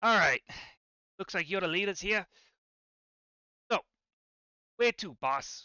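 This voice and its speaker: Using a put-on character voice, a man speaks at a high pitch and a moderate pace with long, frequent pauses. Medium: actual play. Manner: streetwise, cocky.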